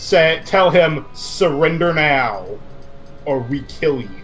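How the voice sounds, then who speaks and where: Over clear background noise, a man does a put-on character voice at a fairly high pitch. He talks at a very slow pace. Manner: menacing.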